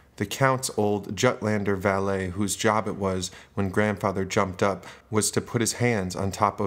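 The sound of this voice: An unforced reading voice is heard. The intonation stays fairly even.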